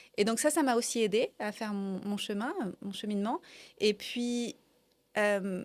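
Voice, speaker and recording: Long, frequent pauses, ordinary pitch variation and a fairly slow pace. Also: woman, fairly high pitch for a woman. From France. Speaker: coach. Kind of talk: interview conversation. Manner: enthusiastic.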